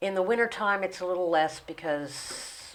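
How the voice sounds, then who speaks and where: A woman uses a normal speaking voice, fairly low in pitch, with ordinary pitch variation. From West Virginia / Maryland / New Jersey. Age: 60s. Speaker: interview guest. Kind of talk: casual interview. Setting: studio.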